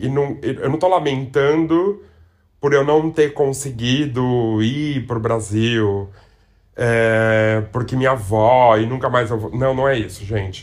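This man talks at a very slow pace, keeping a medium pitch and ordinary pitch variation. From Brazil. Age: 40s. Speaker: podcast host. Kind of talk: casual monologue.

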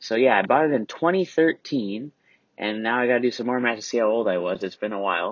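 Using a plain, everyday voice, a man speaks at a fairly quick pace with medium pitch and lively intonation. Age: 20s. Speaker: podcast host. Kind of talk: solo monologue. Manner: casual, filler-heavy.

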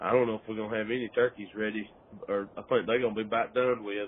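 A man talks with a Southern US accent at a medium pitch. His intonation is flat and monotone. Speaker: turkey hunter. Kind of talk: casual chat.

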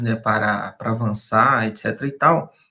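The man's tone is bright and sharp. He talks at a fairly slow pace. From eastern Minas Gerais, Brazil (Peçanha). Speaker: education professor. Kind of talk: radio interview. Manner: hesitant, many fillers.

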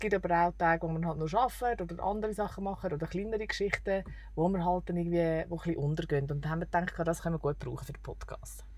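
A woman talks at a very fast pace with ordinary pitch variation, recorded very cleanly over a silent background. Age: 30s. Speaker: travel podcaster. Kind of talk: casual chat.

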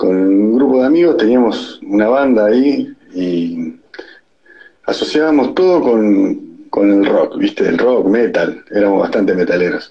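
A man at a fairly slow pace, his loudness very even. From Santa Fe, Argentina. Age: 40s. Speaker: moving van business owner. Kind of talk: recorded voice message.

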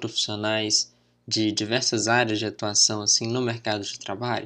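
Against a quiet background, a man of medium pitch speaks at a moderate pace in a bright, sharp tone. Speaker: podcast host, anthropology student. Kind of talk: podcast interview.

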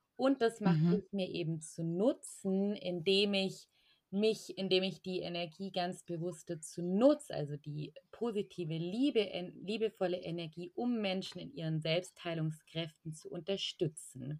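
A woman's ordinary speaking voice at a medium pitch, fairly slow, with ordinary pitch variation and hardly any pauses. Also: big swings in loudness. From Allgäu, southern Germany. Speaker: energy healer and spiritual coach. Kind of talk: casual interview.

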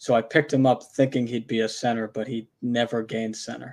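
On a very clean recording with a silent background, a man speaks at a fairly quick pace and medium pitch in a normal speaking voice. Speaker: fantasy sports podcast co-host. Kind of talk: casual chat.

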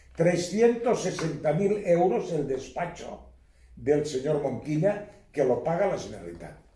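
A man's fairly high voice with lively intonation at a very slow pace, over noticeable background noise. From Spain, Catalonia (Baix Empordà, Girona). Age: old. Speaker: court expert witness. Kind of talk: casual interview.

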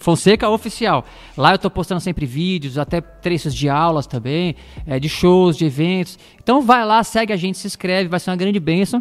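Music plays in the background as a man with a high pitch speaks at a moderate pace. His intonation is lively. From Osasco, São Paulo, Brazil. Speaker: gospel musician and drum teacher. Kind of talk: casual interview chat.

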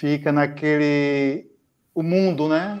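The man's voice sits fairly high, and his intonation stays fairly even. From Ilhéus, southern Bahia, Brazil. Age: 40s. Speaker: pharmaceutical sales rep and amateur runner. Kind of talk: interview, personal testimony. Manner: hesitant, many fillers.

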